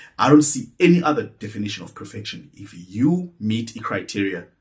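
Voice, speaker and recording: A man is speaking in a somewhat breathy voice. His intonation rises and falls in a lively way. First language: Xhosa or Zulu. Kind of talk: personal reflective monologue. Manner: halting, with repetitions.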